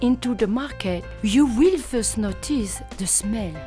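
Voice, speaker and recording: Music plays in the background as a woman speaks at a very slow pace. She has a French accent. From France. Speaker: chef. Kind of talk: travel segment voice-over narration. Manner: bubbly.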